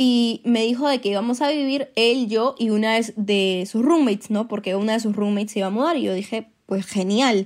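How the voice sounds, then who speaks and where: On a very clean recording with a silent background, a woman with an ordinary speaking voice, fairly high in pitch with ordinary pitch variation, talks at a moderate pace with hardly any pauses. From Peru. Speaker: industrial engineer, former exchange student. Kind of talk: personal storytelling.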